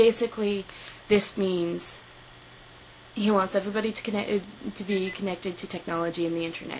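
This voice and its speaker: Talking at a fairly quick pace with long, frequent pauses, a woman keeps a medium pitch and fairly even intonation while her loudness swings widely over noticeable background noise. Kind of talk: political commentary read to camera. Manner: hesitant, stammering.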